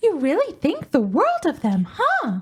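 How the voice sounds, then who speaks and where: In a put-on character voice, a squeaky, female-sounding speaker talks at a moderate pace, pitched high for a woman and swinging very widely in pitch. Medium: game stream. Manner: soft, gentle.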